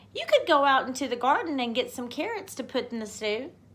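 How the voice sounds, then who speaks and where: A woman's put-on character voice, high in pitch, at a fairly quick pace. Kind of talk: bedtime story. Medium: read story. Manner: in chorus, innocent.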